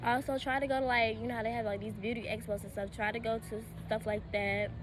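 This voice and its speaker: A woman at a fairly quick pace, with music in the background and audible room echo. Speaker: vlogger, student. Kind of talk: casual vlog advice. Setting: outdoors. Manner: hesitant, many fillers.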